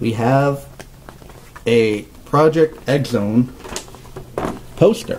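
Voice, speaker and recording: Noticeable background noise behind a man's voice of medium pitch and ordinary pitch variation. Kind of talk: casual unboxing talk to camera. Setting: low-quality tablet recording.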